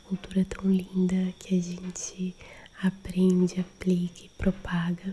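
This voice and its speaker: A woman whispers, soft-spoken and calm. She goes at a very slow pace. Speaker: ASMR creator and holistic therapist. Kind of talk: ASMR friendly chat for sleep. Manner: soft-spoken, whispery, calm.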